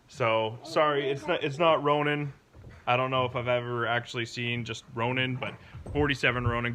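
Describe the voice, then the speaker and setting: There is audible room echo as a man speaks at a moderate pace and medium pitch, with fairly even intonation. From Canada. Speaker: car hobbyist vlogger. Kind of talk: casual vlog talk. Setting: home garage, then indoors.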